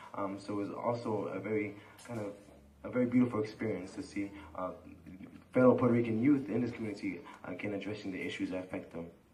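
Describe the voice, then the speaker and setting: Very fast speech with long, frequent pauses and fairly even intonation, amid noticeable background noise and audible room echo. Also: man, fairly low pitch for a man. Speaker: community organizer. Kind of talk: panel discussion. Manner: halting.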